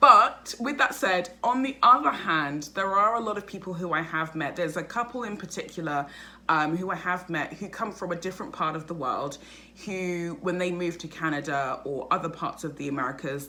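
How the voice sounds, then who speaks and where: A woman with a British accent speaks at a fairly low pitch in a bright, sharp tone. Her intonation is lively and her pace fairly quick. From England, North London. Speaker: vlogger. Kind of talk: casual vlog monologue. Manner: fast; animated.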